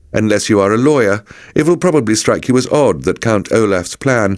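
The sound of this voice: Lively intonation in an unforced reading voice.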